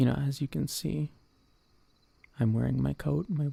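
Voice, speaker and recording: A man at a medium pitch speaks in a dark, mellow tone that is somewhat breathy, with very wide pitch swings and a dry, close sound with no echo. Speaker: VTuber streamer. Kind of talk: ASMR talk. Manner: speaking quietly, not whispering; halting, repeats words.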